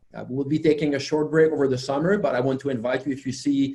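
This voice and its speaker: With a French Canadian accent, a man speaks in a dark, mellow tone. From Quebec. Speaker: software company founder and conference presenter. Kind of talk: technical conference presentation. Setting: virtual webinar. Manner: hesitant with many fillers.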